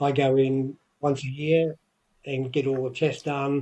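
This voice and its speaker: A man with an Australian accent and a fairly high pitch sounds somewhat breathy. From Australia, Victoria. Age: 60s. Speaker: retired wrestler and wrestling promoter. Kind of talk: interview. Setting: podcast.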